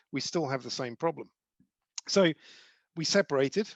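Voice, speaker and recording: A man with a British accent talks at a fairly quick pace, the sound dry and close with no echo over a quiet background. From UK. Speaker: charity ambassador and former CEO. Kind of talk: talk to a group.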